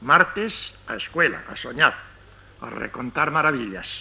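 This man speaks very slowly. His voice rises and falls across a very wide range. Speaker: poet reciting his own poem. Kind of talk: poetry reading. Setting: old radio archive recording. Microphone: old recording.

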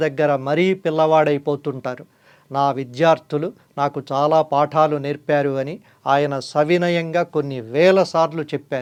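A man with a fairly high pitch talks over a quiet background. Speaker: journalist and channel host. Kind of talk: scripted narration.

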